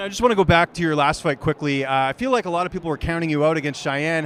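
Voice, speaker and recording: Over noticeable background noise, a voice in a Canadian accent moves at a very fast pace with ordinary pitch variation. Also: man. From Canada. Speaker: sports interviewer. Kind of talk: interview.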